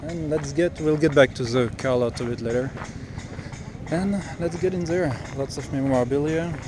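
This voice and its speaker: A man's fairly high voice at a moderate pace, with long, frequent pauses and noticeable background noise. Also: ordinary pitch variation. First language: French. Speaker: car enthusiast vlogger. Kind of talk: casual walkaround video report. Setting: outdoors at a car show. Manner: casual, hesitant with fillers.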